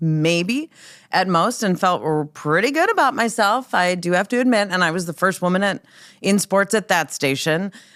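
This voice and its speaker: Very wide pitch swings from a woman at a medium pitch with an Upper Midwest accent. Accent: Upper Midwest American. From North Dakota, Minot. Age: 50s. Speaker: sportscaster and radio host. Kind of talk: podcast interview. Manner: casual, with fillers.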